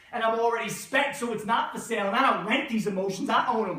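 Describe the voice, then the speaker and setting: A man with a high pitch uses a raised, projected voice at a fairly quick pace against noticeable background noise. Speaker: poet, teacher. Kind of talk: spoken word poetry performance.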